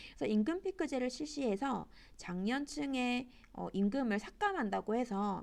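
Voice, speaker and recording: With very wide pitch swings, a woman talks at a fairly slow pace in a fairly high pitch. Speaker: high school teacher. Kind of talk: online class lecture.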